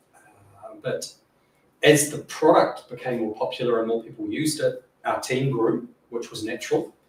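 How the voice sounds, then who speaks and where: Speaking with a New Zealand accent, a man shows big swings in loudness. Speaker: software engineer / data modelling expert. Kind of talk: panel Q&A at a meetup. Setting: stage with audience. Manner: fast.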